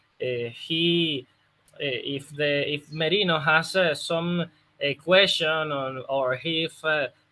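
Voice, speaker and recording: Speaking at a very slow pace with a Spanish accent, a man uses a fairly high pitch and fairly even intonation. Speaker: football opposition analyst. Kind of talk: interview answer. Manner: hesitant, many fillers.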